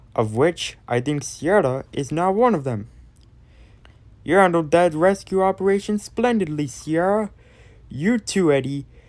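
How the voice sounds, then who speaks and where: Using a put-on character voice at a middle pitch, the speaker goes at a moderate pace with long, frequent pauses in a very clean recording with a silent background. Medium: solo performance. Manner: earnest, shaken.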